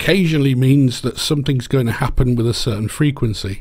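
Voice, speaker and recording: Somewhat breathy, a man speaks at medium pitch and a moderate pace with ordinary pitch variation. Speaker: game programmer. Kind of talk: tutorial lecture.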